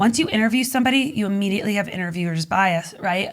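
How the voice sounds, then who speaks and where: Very fast pace with lively intonation. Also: woman. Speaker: magazine publisher and business consultant. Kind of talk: podcast interview.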